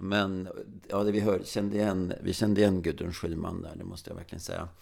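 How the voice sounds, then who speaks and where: The recording is very clean with a silent background, carrying a man's fairly low voice. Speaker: stress researcher, podcast co-host. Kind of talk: casual chat. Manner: slow; trailing off in volume.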